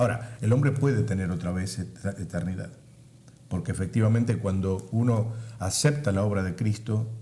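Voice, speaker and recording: A man talks at a moderate pace with a fairly low pitch and ordinary pitch variation. His tone is dark, mellow and somewhat breathy, with audible room echo. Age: 70s. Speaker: pastor. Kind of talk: interview.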